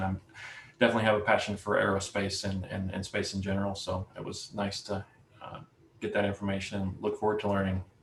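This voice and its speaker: This man talks at a fairly quick pace in a fairly low, somewhat breathy voice with monotone, flat intonation. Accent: American. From US South, Alabama. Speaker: prospective club member, ham radio hobbyist. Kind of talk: self-introduction in club meeting. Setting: video call.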